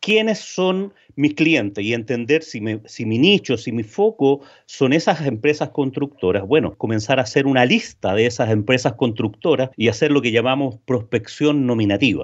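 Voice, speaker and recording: A man in a normal speaking voice at medium pitch, with lively intonation, a moderate pace and hardly any pauses. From Chile. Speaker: B2B sales consultant and trainer. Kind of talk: interview.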